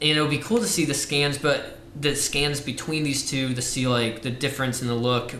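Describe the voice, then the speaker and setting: A man's fairly high voice with an American accent, fairly quick and with ordinary pitch variation, amid noticeable background noise and audible room echo. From Ohio. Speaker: film lab worker. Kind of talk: casual chat.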